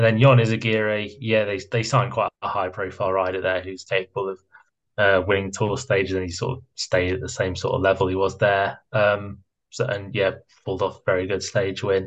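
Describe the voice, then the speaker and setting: Speech comes at a fairly quick pace with a British accent and fairly even intonation. The background is quiet. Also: man, fairly low pitch for a man. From Britain. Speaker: cycling pundit. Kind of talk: casual chat.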